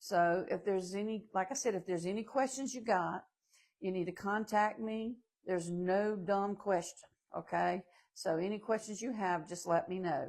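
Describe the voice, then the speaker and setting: Recorded very cleanly against a silent background, a woman with a Southern US accent speaks at a moderate pace in a medium pitch with ordinary pitch variation. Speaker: manufactured home salesperson. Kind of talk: live stream Q&A. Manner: casual, chatty.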